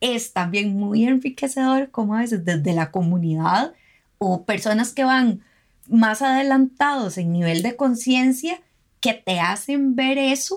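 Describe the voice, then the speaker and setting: A woman with an unremarkable speaking voice talks at a fairly slow pace and a fairly high pitch with lively intonation, on a very clean recording with a silent background. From Costa Rica, Guanacaste. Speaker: environmental lawyer and consultant. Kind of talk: interview.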